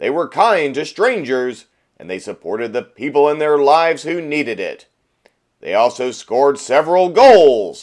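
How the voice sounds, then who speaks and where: A man with a fairly high pitch speaks in an unremarkable speaking voice. His intonation is lively, his loudness swings widely, and the recording is very clean with a silent background. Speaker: arena PA announcer. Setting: studio. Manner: big, drawn-out stadium announcer delivery building to a triumphant finish; heartfelt, uplifting tone.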